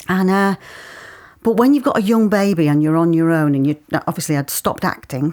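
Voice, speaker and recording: Speaking with a Yorkshire accent, a woman with a fairly low pitch talks at a fairly quick pace with lively intonation and very even loudness, leaving long, frequent pauses. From Yorkshire, Leeds. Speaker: actor and playwright. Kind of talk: interview. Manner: halting.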